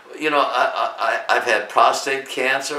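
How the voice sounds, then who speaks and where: There is noticeable background noise and audible room echo as a man talks with an American accent. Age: 90s. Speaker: YouTuber, WWII veteran. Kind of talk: interview. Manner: halting.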